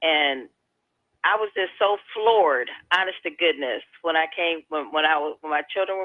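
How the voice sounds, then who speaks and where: A woman at a moderate pace, with an American accent. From Hammond, Indiana (US Midwest). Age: 60s. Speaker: radio caller. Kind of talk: call-in radio chat.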